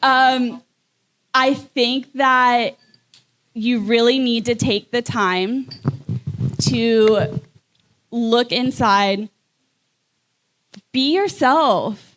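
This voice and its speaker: Very slow, high-pitched female speech with very even loudness and long, frequent pauses. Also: ordinary pitch variation. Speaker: podcast co-host. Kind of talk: live podcast conversation.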